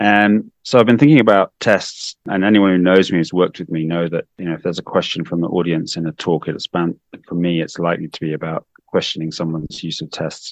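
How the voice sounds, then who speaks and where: Speaking fairly quickly with an English accent, a man with a very deep, low pitch and ordinary pitch variation is heard in a dry, close sound with no echo. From UK. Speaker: infectious disease doctor. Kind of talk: interview.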